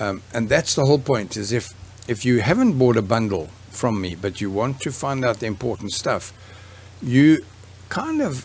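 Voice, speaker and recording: Noticeable background noise sits under the speech. Pitch variation stays ordinary. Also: man, medium pitch for a man. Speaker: online course creator for craft businesses. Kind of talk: tutorial. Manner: fast; casual, halting with false starts.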